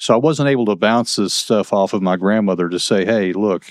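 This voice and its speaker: With an American accent, a man speaks at a moderate pace, his fairly low pitch showing ordinary variation. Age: 60s. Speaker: retired federal marshal. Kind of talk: testimony interview. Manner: halting, many repeated words.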